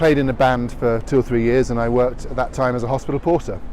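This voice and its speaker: Over noticeable background noise, a man with an English accent speaks very fast at a medium pitch with fairly even intonation. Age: 40s. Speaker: politician. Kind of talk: campaign video.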